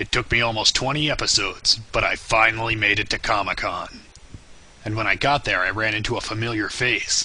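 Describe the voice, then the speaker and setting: Putting on a character voice, a man at medium pitch delivers raspy, deadpan lines at a fairly quick pace over clear background noise. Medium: cartoon. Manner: deadpan, sarcastic.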